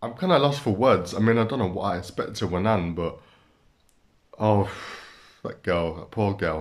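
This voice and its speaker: A man with a fairly low voice talks at a moderate speed, his pitch varying in an ordinary way, against a quiet background. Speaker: reaction video creator. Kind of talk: casual vlog chat. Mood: amused, laughing. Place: home room. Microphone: webcam.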